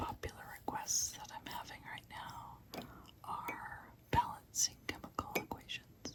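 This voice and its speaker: Someone whispers in a gentle tone over noticeable background noise. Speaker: chemistry tutor. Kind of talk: ASMR chemistry tutoring. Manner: whispered, gentle, soft-spoken.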